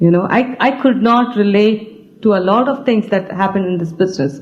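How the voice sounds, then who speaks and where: A woman with a non-native accent talks at a moderate pace with ordinary pitch variation, and audible room echo surrounds her. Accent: non-native, foreign. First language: an Indian language. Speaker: business team leader. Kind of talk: stage speech. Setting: stage with audience. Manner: halting.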